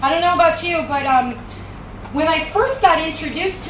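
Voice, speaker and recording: With a Canadian accent and an animated tone, a woman speaks amid noticeable background noise and audible room echo. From Canada, Vancouver. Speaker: business trainer and speaker. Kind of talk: motivational stage talk. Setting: stage with audience.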